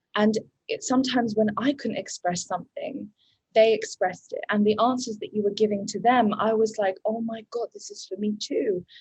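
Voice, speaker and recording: A woman speaks at a moderate pace in a fairly high, somewhat breathy voice with fairly even intonation. Her loudness swings widely. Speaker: coaching program graduate. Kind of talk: interview. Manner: halting.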